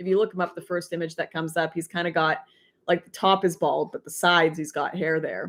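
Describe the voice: At a moderate pace, a woman speaks in a fairly low voice.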